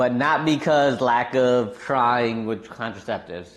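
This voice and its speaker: Very slowly, a man speaks at medium pitch with an American accent. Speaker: gaming and cooking streamer. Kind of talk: casual live-stream chat. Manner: animated.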